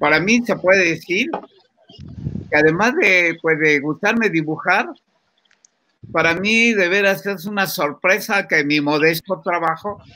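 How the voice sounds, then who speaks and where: Speaking fairly slowly, a man uses a high pitch with ordinary pitch variation and a bright, sharp tone. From Mexico. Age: 80s+. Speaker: comic book artist. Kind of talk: interview. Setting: video call.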